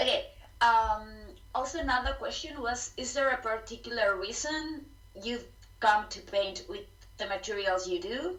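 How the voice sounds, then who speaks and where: A woman's high-pitched voice in a Spanish accent, with lively intonation, big swings in loudness and long, frequent pauses, plus audible room echo and noticeable background noise. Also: moderate pace. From Spain. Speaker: live session host. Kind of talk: interview. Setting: live stream.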